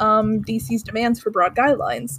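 A woman speaks with lively intonation and a somewhat breathy voice, recorded dry and close with no echo. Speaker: podcast co-host. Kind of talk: casual chat with reading of research notes. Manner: halting, many fillers.

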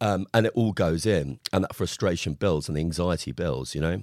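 A man with a very deep, low pitch and vocal fry speaks at a fairly quick pace with lively intonation, recorded very cleanly against a silent background in a dry, close sound with no echo. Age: 40s. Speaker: psychotherapist. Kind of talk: podcast interview.

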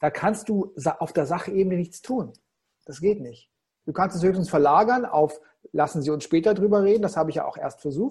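A man's high voice at a fairly quick pace with ordinary pitch variation. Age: 50s. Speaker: keynote coach and speaker. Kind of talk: interview. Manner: expressive.

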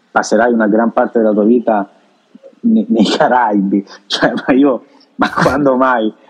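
The speaker is a man with a medium-pitched voice. He talks at a fairly slow pace. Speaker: Italian expat in Dominican Republic. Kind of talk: casual interview.

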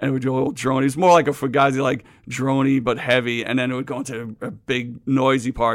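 With a New York accent, a man rattles on at a very fast pace with hardly any pauses, his medium-pitched voice monotone and flat. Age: 50s. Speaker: hardcore band singer. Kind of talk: casual chat.

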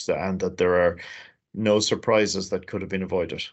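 Someone with an Irish accent talks at a fairly quick pace. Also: man. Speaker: chief executive of a trade agency. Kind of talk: interview.

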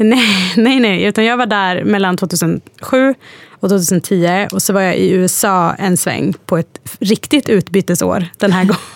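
A normal speaking voice from a woman, medium in pitch with ordinary pitch variation, at a fairly slow pace with hardly any pauses, very even loudness and a dry, close sound with no echo. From Sweden, Hudiksvall (Hälsingland). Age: 30s. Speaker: interview guest. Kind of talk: casual interview.

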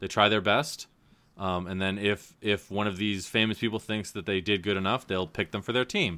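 Heard here is a plain, everyday voice, moving at a moderate pace with fairly even intonation. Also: man, fairly low pitch for a man. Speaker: podcast host. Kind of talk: casual chat. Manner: joking, self-deprecating.

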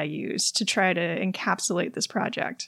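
In a very clean recording with a silent background, a woman speaks at a moderate pace in a warm tone with ordinary pitch variation. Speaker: podcast host and writer. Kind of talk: solo podcast monologue, reflective. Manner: warm, conversational, laughs often.

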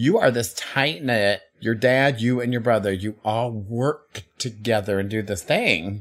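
At a fairly slow pace with hardly any pauses, a man uses a normal speaking voice with a medium pitch and ordinary pitch variation. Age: 40s. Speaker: drag performer and podcast co-host. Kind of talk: casual chat.

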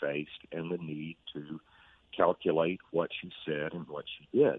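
In a Southern US accent, a man speaks with a very deep, low pitch. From Mississippi (Brookhaven). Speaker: historian. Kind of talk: interview.

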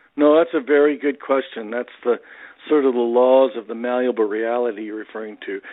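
A plain, everyday voice moves at a fairly quick pace with fairly even intonation. Its loudness swings widely. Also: man, medium pitch for a man. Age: 60s. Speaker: motivational speaker and author. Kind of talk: casual interview, storytelling.

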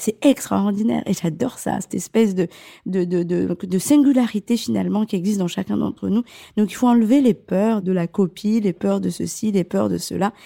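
Dry and close with no echo, a woman's dark, mellow voice sits at a medium pitch. She keeps a moderate pace with ordinary pitch variation. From Comoros, then Marseille from childhood. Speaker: fashion designer. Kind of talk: casual interview. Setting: her living room at home.

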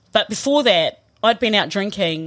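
In a southern New Zealand accent, a woman speaks at a medium pitch with lively intonation over a silent background in a very clean recording. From New Zealand, Southland (Riverton). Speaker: former rugby player and coach. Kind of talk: casual chat. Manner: animated.

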